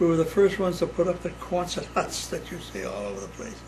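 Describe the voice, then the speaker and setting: There's audible room echo and noticeable background noise as a man with a fairly high pitch speaks at a moderate pace. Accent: American. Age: 80s+. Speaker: WWII navy veteran. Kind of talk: casual family interview. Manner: halting.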